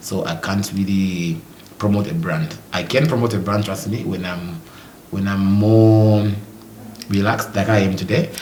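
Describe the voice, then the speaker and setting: Amid noticeable background noise and audible room echo, a man talks with ordinary pitch variation. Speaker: modeling agency owner. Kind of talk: interview. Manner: fast.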